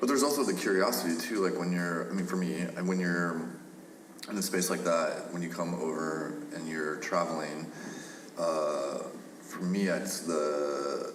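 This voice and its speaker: A man with a very deep, low pitch talks at a moderate pace with ordinary pitch variation, heard with audible room echo and noticeable background noise. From Kansas. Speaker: podcast host. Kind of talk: casual chat.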